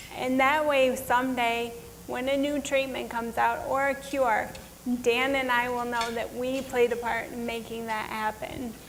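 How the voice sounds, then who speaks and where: Her intonation is monotone and flat, set at a high pitch for a woman. Noticeable background noise is present. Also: moderate pace. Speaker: multiple sclerosis keynote speaker. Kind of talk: motivational keynote speech.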